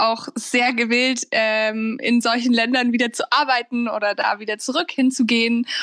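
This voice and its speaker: In a dry, close sound with no echo, a woman speaks at a high pitch. Her pace is fairly slow and her intonation fairly even. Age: 20s. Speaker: university student. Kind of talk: interview. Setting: remote recording from home.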